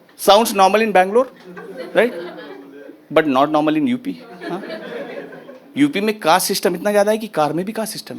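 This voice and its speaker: A man with a high voice talks at a moderate pace, leaving long, frequent pauses. His intonation is lively, and background noise is noticeable. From Uttar Pradesh, India. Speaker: stand-up comedian. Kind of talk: live stand-up comedy set.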